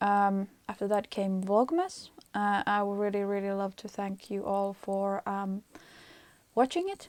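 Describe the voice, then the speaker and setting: A woman with a Finnish accent talks at a fairly slow pace, her medium-pitched voice monotone and flat. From Finland. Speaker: knitting podcaster. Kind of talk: casual vlog monologue. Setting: attic of apartment. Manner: hesitant, many fillers.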